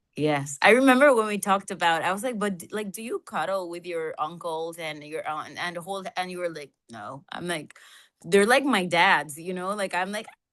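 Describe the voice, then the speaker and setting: A woman with a Spanish accent speaks at a moderate pace in a medium pitch with lively intonation. Her loudness swings widely against a quiet background. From Colombia. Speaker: podcast co-host. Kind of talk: casual chat. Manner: animated.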